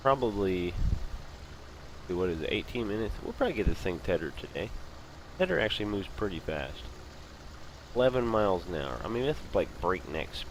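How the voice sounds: A man talks at a moderate pace with a low pitch and big pitch swings. He leaves long, frequent pauses.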